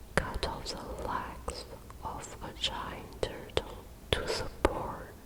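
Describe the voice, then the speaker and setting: Very slowly, a woman whispers while noticeable noise sits in the background. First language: not English. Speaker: ASMR creator. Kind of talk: ASMR bedtime story. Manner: whispered, soft-spoken.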